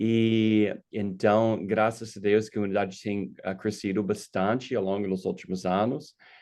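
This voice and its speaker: Over a quiet background, a man with an American accent speaks in a fairly low, monotone voice. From United States. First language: English (speaking Portuguese). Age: 50s. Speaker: pastor. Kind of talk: casual chat. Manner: halting, with many fillers.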